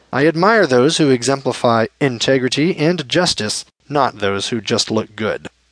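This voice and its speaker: The man's medium pitch carries lively intonation at a moderate pace, recorded with a dry, close sound and no echo. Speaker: audiobook narrator. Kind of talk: audiobook narration of spoken-word poetry. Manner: earnest, impassioned, declamatory; measured, rhythmic, defiant.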